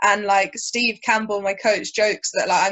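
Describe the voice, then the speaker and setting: A woman with a southern English accent talks at a fairly quick pace with fairly even intonation. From southern England, Brighton. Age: 20s. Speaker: jiu-jitsu athlete and commentator. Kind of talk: casual chat.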